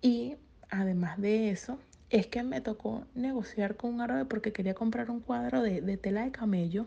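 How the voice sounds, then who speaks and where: At a moderate pace, a woman speaks in a fairly high, somewhat breathy voice with a dark, mellow tone and lively intonation. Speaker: businesswoman. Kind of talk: panel talk.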